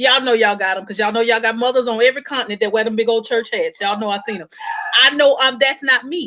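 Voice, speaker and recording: This woman has an American accent and an animated tone, speaking at a very fast pace. Her pitch is fairly high, with ordinary pitch variation. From Texas. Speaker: panel speaker. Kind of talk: panel discussion. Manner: loud.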